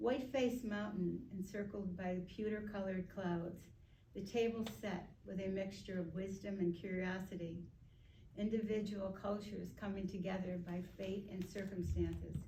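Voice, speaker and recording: The voice is quiet with fairly even intonation. Noticeable background noise runs underneath. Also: woman, medium pitch for a woman, moderate pace. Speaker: poet reading her own work at a writing graduation. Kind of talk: poetry reading of her own work. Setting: live reading into a microphone in front of an audience.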